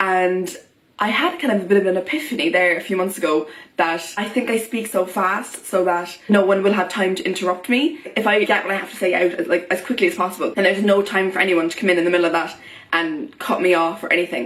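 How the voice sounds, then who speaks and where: A woman speaks very fast with an Irish accent, her pitch medium and its variation ordinary. Her tone is animated, and there is noticeable background noise. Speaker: vlogger. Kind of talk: vlog monologue.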